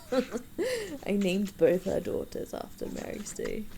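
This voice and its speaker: Doing a put-on character voice, a woman sounds amused and wheezy as she speaks at a fairly slow pace over noticeable background noise. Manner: wheezing laugh; amused, self-mocking.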